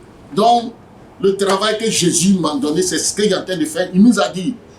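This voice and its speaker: A man speaks at a moderate pace with a high pitch and ordinary pitch variation. Noticeable background noise runs behind him. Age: 70s. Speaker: evangelist. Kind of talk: interview. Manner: animated.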